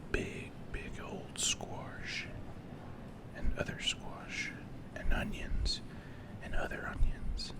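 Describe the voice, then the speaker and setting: With long, frequent pauses, the whispering moves at a very slow pace over noticeable background noise. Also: man. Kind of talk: asmr whispered grocery store walkthrough, deadpan humorous. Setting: recorded in a grocery store. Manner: whispered.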